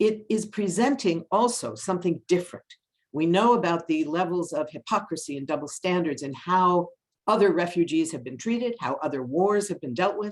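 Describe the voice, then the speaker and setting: Lively intonation from a woman of medium pitch, an ordinary speaking voice. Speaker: policy analyst. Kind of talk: webinar presentation.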